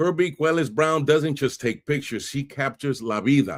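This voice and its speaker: In a New York accent, a man with vocal fry and a fairly high pitch speaks at a fairly slow pace in an animated tone, on a very clean recording with a silent background. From New York City (Bronx, Brooklyn). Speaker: podcast host. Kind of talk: podcast intro monologue. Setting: live stream.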